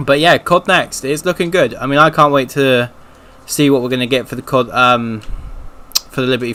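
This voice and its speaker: Speaking at a moderate pace, a man with a British accent has a bright, sharp tone at medium pitch. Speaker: gaming streamer. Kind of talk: casual chat. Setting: live stream. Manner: monotone.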